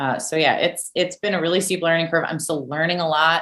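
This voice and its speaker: Loud and bright with a sharp edge, a woman talks in an American accent on a very clean recording with a silent background. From US, western Pennsylvania. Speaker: marine scientist. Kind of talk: interview. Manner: animated.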